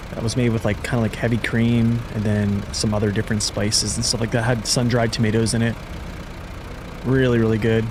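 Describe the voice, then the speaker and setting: Over noticeable background noise and audible room echo, a man speaks fairly quickly at a medium pitch with monotone, flat intonation. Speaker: gaming streamer. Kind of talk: live gameplay stream chat. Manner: casual, halting with fillers.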